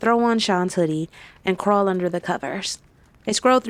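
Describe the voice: Plain reading aloud comes through here, marked by ordinary pitch variation.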